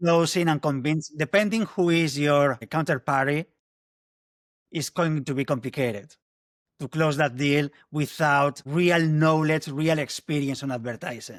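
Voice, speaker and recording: A man with a strong Spanish accent and a fairly high pitch speaks at a fairly slow pace with ordinary pitch variation, on a very clean recording with a silent background and a dry, close sound with no echo. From northern Spain. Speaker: marketing agency founder. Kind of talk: interview.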